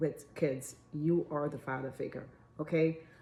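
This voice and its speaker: A woman speaks with a very deep, low pitch and a dark, mellow tone. Her pace is moderate and her intonation fairly even. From Jamaica. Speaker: relationship advice vlogger. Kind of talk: casual talk to camera. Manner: halting, filler-heavy.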